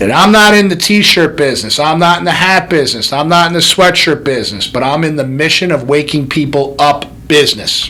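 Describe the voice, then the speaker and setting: A loud man at a moderate pace, over noticeable background noise. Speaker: chiropractor and podcast host. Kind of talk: motivational podcast monologue. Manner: animated.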